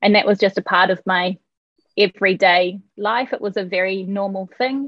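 A woman with a New Zealand accent speaks at a medium pitch. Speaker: architecture professor. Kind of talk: interview.

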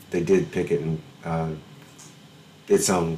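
The man has a very deep, low voice and a Southern US accent. He speaks at a moderate pace. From Alabama, US South. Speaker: podcast host, musician. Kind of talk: casual chat. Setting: video call.

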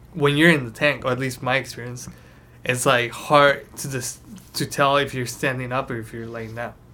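A man with a Spanish accent speaks at a medium pitch and a moderate pace, his intonation monotone and flat. His tone is bright and sharp, and his loudness swings widely. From Mexico, Tijuana. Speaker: podcast host. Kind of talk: casual chat.

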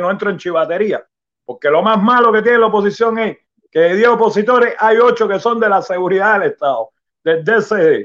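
A man with a high-pitched voice. He talks at a moderate pace with ordinary pitch variation. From Cuba. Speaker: Cuban opposition activist. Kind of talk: testimony.

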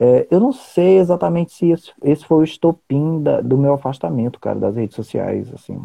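Lively intonation carries a dark, mellow tone at a moderate pace in a dry, close sound with no echo. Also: man, fairly high pitch for a man. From Rio Branco, Acre, Brazil. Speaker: writer and poet. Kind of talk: casual chat.

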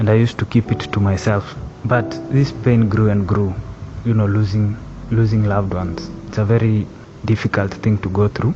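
A man's fairly low voice at a moderate pace, with ordinary pitch variation and noticeable background noise. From Kenya, Nakuru County. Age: 20s. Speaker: engineering student. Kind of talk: personal testimony.

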